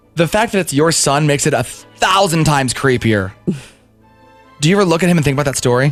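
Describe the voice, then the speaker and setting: Over music in the background, a man with fairly high pitch talks at a very fast pace with lively intonation, very even loudness and long, frequent pauses. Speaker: radio DJ. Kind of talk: morning radio show banter.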